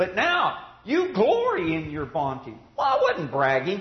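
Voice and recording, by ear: Over audible room echo, a man speaks at a fairly slow pace with a high pitch and very wide pitch swings.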